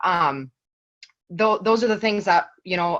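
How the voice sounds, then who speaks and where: A woman speaks with an American accent. Her pitch shows ordinary variation. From eastern Montana. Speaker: health coach. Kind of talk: team call talk. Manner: fast.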